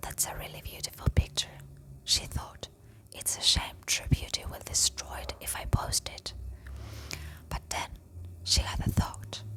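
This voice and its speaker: Over clearly audible background noise, a woman's whisper moves along at a rather unhurried pace. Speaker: ASMR storyteller. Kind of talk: story reading. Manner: slow, soft-spoken.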